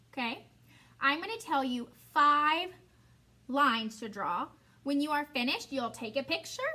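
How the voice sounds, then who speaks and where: The voice is raised and projected, with lively intonation. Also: woman, long, frequent pauses. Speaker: elementary school teacher. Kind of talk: tutorial. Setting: recorded video lesson alone.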